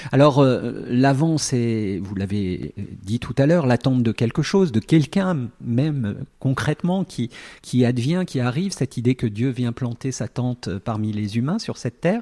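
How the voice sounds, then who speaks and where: Dark and mellow in tone, a man speaks at a fairly slow pace in a dry, close sound with no echo and a very clean recording with a silent background. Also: medium pitch for a man, lively intonation. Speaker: radio host. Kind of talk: radio presentation and interview. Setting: studio.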